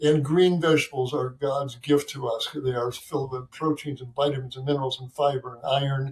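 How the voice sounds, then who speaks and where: Speaking at a fairly quick pace with hardly any pauses, a man with an American accent sounds somewhat breathy and flat, in a monotone. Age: 70s. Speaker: physician. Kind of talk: interview. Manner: halting, many fillers.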